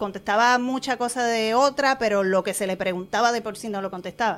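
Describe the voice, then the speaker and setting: The speaker is a woman. Her intonation is lively. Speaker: actress and stage producer. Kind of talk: casual chat. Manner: animated.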